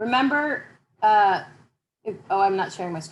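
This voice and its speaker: A woman's medium-pitched voice, fairly slow in pace, with lively intonation. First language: not English. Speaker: university instructor. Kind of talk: online class Q&A session.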